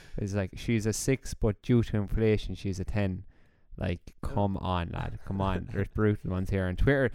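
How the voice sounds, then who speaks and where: With an Irish accent, a man speaks in a dark, mellow tone at a fairly low pitch. His intonation stays fairly even. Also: moderate pace. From Ireland. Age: 20s. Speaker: podcast co-host. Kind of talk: casual chat.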